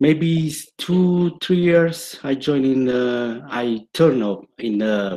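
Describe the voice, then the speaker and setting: A very slow-paced man with a dark, mellow tone and lively intonation. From Italy. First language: Italian. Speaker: property photographer. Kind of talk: casual chat. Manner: halting.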